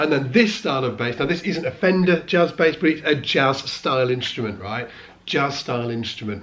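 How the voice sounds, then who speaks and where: Lively intonation from a man with a fairly high pitch, at a moderate pace, amid noticeable background noise. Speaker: bass teacher. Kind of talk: casual vlog talk. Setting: studio.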